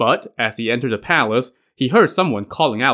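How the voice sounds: Against a quiet background, the natural reading voice moves with lively intonation.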